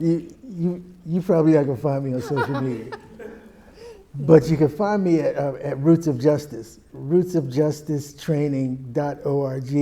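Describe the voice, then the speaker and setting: There is noticeable background noise behind this man's fairly high voice. He keeps a moderate pace with fairly even intonation. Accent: American. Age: 60s. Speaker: anti-racism educator. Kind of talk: panel discussion.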